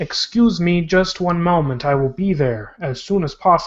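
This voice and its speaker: A put-on, robotic character voice speaks at a middle pitch and a moderate pace. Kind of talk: polite, formal.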